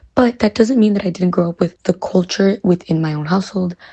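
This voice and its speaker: With a Chicago accent, a woman talks at a very fast pace in a dark, mellow tone with ordinary pitch variation, and the sound is dry and close with no echo. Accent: Chicago American English. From US Midwest, Chicago. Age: 20s. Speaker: college student. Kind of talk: interview.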